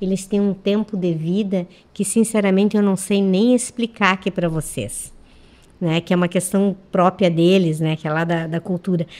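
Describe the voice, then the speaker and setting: At a moderate pace, a woman talks in a plain, everyday voice, her medium pitch held in fairly even intonation. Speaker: schoolteacher. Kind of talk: radio interview. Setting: radio studio.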